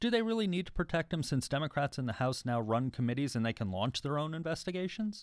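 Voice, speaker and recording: Racing along at a very fast pace with hardly any pauses, a man with a fairly high voice makes very wide pitch swings on a very clean recording with a silent background. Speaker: radio host. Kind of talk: radio news interview.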